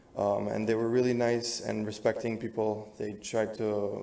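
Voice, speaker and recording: In a room with audible echo, a man speaks with an American accent. His pitch is medium and his intonation is flat and monotone. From New Jersey / New York area. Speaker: resident speaking at public comment. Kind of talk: public comment at council meeting. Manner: halting, many fillers.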